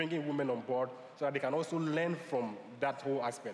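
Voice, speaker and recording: Amid noticeable background noise, a man with a fairly high pitch talks at a very fast pace with fairly even intonation. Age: young. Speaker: new media entrepreneur and panelist. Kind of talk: conference panel discussion.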